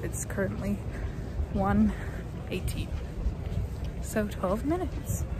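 A woman speaks with music playing in the background. The sound is dry, with no echo. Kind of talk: casual vlog chat. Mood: excited, cheerful. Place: stadium. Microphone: phone near.

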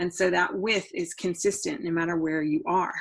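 Over a quiet background, a woman speaks in a normal speaking voice, fairly low in pitch with ordinary pitch variation. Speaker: chemistry instructor. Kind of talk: lecture. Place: home room. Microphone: webcam.

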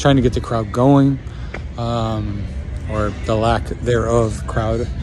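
Over noticeable background noise, a man speaks at a very deep, low pitch in a dry sound with no echo. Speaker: stand-up comedian. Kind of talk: casual vlog chat. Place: street. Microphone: phone near.

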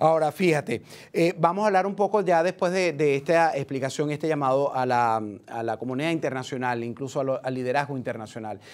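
This is an unremarkable speaking voice from a man with a fairly high pitch. He talks at a fairly quick pace with ordinary pitch variation. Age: 50s. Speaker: TV news host. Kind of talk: live TV interview. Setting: studio. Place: studio.

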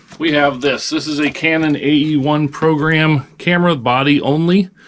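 The man talks at a fairly slow pace. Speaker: online reseller. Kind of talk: casual vlog chat. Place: home room. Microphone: camera far.

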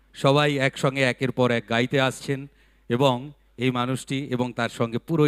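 A man speaks at a medium pitch. The sound is dry and close with no echo, in a very clean recording against a silent background. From West Bengal, Barrackpore. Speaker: event emcee. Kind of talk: stage anchoring with anecdotes. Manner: animated.

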